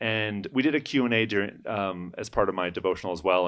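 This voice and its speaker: A man with an American accent is speaking. He goes at a fairly quick pace with ordinary pitch variation. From US Pacific Northwest, Seattle area. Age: 30s. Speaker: student and church leader. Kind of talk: podcast interview.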